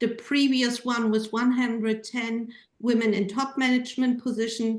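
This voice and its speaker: At a fairly slow pace, a woman with a German accent speaks in a high pitch. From Germany. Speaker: panel moderator and gender researcher. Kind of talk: panel moderation.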